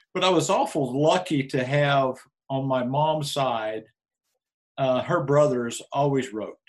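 Using a fairly slow pace, a man with an American accent has an unremarkable speaking voice, a fairly high pitch and ordinary pitch variation. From Oklahoma Panhandle. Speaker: team roper and county commissioner candidate. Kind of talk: casual interview.

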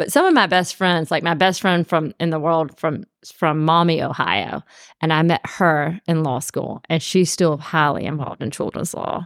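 A woman with a Georgia accent speaks in a fairly low pitch with fairly even intonation, heard as a dry, close sound with no echo. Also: moderate pace, very clean recording, silent background. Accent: US Southern (Georgia). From Columbus, Georgia. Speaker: defense attorney. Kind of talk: casual interview.

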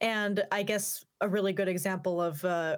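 A plain, everyday voice at a moderate pace, fairly even in intonation, on a very clean recording with a silent background. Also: woman. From US Pacific Northwest, Yakima Valley, Washington. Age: 20s. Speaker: opera singer and YouTuber. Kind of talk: interview. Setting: studio.

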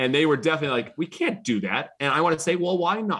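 A man talks at a very fast pace with an American accent. His voice has vocal fry. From Massachusetts. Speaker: baseball team owner. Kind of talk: interview. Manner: energetic.

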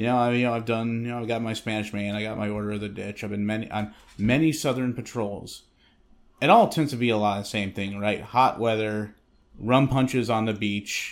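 In a plain, everyday voice, a man speaks at a moderate pace with medium pitch and fairly even intonation, on a very clean recording with a silent background. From Western Massachusetts. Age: 30s. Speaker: Coast Guard storekeeper, army veteran. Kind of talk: casual interview chat.

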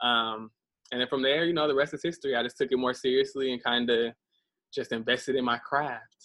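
A man with an unremarkable speaking voice, medium pitch, fairly even intonation and a fairly quick pace, in an American accent. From US Midwest, Des Moines, Iowa. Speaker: creative agency founder and horse trainer. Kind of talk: casual interview.

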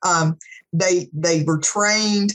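A woman's medium-pitched voice with an American accent, ordinary pitch variation, and an ordinary speaking voice. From Bristol, Virginia/Tennessee border (Appalachia). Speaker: gerontology professor. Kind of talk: webinar panel talk.

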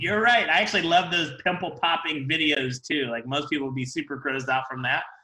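Lively intonation and a moderate pace in an unremarkable speaking voice. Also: man. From Ohio, US Midwest. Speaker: dental hygienist and event organizer. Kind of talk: casual interview. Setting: video call.

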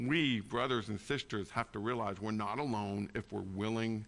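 A man with an unremarkable speaking voice and ordinary pitch variation talks against a quiet background. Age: 40s. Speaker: pastor. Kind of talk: sermon.

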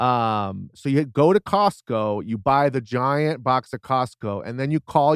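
A man's medium-pitched, plain, everyday voice with ordinary pitch variation, in a very clean recording with a silent background and a dry, close sound with no echo. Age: 40s. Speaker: stand-up comedian and podcaster. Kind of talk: casual chat.

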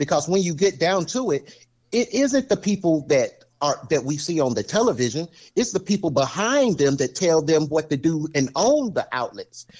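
A man with a Southern US accent, high-pitched, with very wide pitch swings. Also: moderate pace. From US South, military base housing. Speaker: podcast guest, friend of host. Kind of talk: casual chat.

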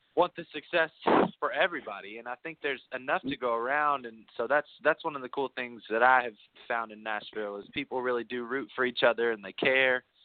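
Talking at a fairly quick pace with an American accent, a man with an unremarkable speaking voice keeps to medium pitch with ordinary pitch variation while his loudness swings widely. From Kentucky, US. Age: 20s. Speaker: singer-songwriter. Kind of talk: casual interview chat. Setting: video call.

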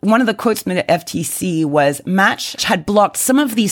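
At a fairly quick pace, a woman with a plain, everyday voice speaks at medium pitch with lively intonation in a very clean recording with a silent background. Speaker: podcast co-host. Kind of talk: casual chat. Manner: playful.

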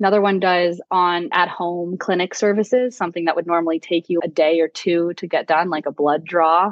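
A fairly quick, fairly even-toned delivery in an American accent. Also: woman, fairly low pitch for a woman. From Florida, US. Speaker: tech entrepreneur. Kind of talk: interview.

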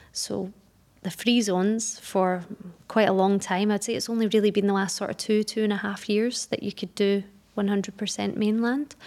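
A woman with a Glaswegian accent speaks at a moderate pace in a medium pitch, her intonation flat and monotone. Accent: Glaswegian Scottish. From Scotland, Glasgow. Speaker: business setup advisor. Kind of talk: interview.

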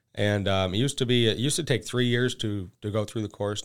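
A man with an American accent speaks in a normal speaking voice, his fairly low pitch carried by fairly even intonation over a very clean recording with a silent background. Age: 30s. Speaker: agricultural sales manager and maple syrup producer. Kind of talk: casual interview.

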